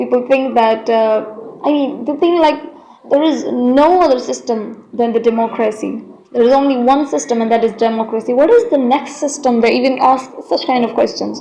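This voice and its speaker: Over noticeable background noise and audible room echo, a woman speaks at a high pitch with ordinary pitch variation. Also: moderate pace. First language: not English. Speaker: Islamic content creator. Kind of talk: video monologue. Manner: halting.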